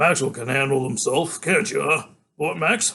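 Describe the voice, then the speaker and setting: Raspy put-on character voice from a man, fairly high-pitched, lively intonation, moderate pace. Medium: read story. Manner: curt, impatient.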